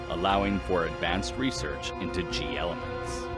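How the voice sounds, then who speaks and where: There is music in the background while a man speaks. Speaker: voice actor. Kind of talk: documentary lore narration.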